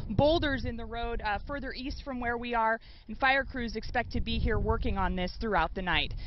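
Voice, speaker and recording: Ordinary pitch variation marks a woman's moderate-paced speech, recorded dry with no echo and light background noise. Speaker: field news reporter. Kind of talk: live news report. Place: street. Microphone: handheld.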